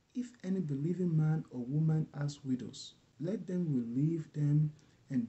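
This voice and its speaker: Somewhat breathy, a man talks at a fairly slow pace with ordinary pitch variation. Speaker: bible reader. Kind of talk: scripture reading. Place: home room. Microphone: webcam.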